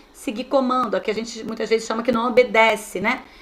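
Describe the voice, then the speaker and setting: A woman's animated tone comes through noticeable background noise. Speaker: teacher trainer. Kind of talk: online training lecture.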